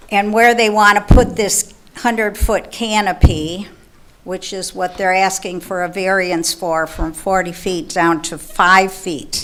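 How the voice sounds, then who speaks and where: A woman speaks at medium pitch and a fairly slow pace, with ordinary pitch variation. Her loudness swings widely, and there is noticeable background noise. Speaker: resident speaking at public comment. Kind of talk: public comment at council meeting. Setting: council chamber with microphone. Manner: quiet.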